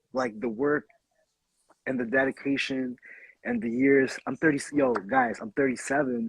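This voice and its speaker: This man has a medium pitch and ordinary pitch variation, talking at a moderate pace with long, frequent pauses. The sound is dry and close, with no echo. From southern California (Oxnard), born in the Philippines. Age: 30s. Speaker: rapper. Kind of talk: casual interview chat. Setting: live stream.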